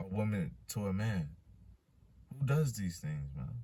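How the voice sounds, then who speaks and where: A man speaks at a fairly low pitch in an animated, somewhat breathy tone. Audible room echo surrounds him. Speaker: street-style religious preacher. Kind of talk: sermon with scripture reading. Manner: stutters and repeats words; animated, emphatic.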